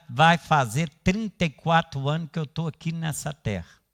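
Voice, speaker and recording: Fairly high in pitch, a man speaks at a fairly slow pace. The recording is very clean with a silent background, dry and close with no echo. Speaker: pastor. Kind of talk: sermon.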